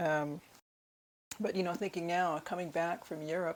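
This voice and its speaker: A woman's fairly low pitch with fairly even intonation. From United States. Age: 60s. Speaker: book vlogger. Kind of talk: book haul video. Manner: casual with fillers.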